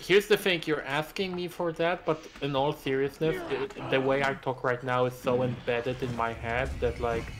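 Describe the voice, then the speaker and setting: Background music can be heard. Over it, a man talks at a medium pitch. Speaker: gaming streamer. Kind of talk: casual chat. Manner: clear careful pronunciation.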